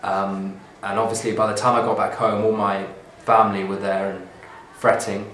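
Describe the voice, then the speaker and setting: Amid noticeable background noise and audible room echo, a man with a southern English accent speaks at a fairly low pitch with monotone, flat intonation. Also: moderate pace. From southern England (Bognor Regis, West Sussex). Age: 20s. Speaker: artist. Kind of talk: reading aloud a transcript of his own life story. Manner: hesitant, with ums and uhs.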